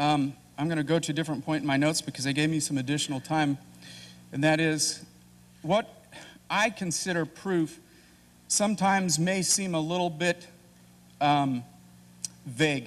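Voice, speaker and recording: A man with an American accent at a moderate pace, with ordinary pitch variation and long, frequent pauses. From Kansas, US Midwest. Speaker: debater. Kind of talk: debate opening statement. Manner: halting, many fillers and restarts.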